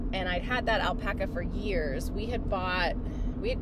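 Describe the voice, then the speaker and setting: A woman's voice against loud background noise. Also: dry sound with no echo. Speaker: knitting podcaster. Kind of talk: casual vlog chat. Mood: warm, cheerful. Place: car. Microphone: phone near.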